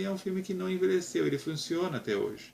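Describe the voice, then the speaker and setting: The voice belongs to a man. His pitch jumps up and down very widely. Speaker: film blogger. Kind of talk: film review monologue. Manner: halting.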